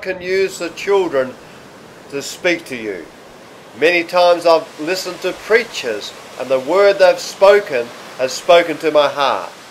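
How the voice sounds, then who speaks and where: Over noticeable background noise, a man with an Australian accent talks at a fairly slow pace, his high-pitched voice full of lively intonation. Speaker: pastor. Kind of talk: sermon, religious teaching to camera. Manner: calm, conversational.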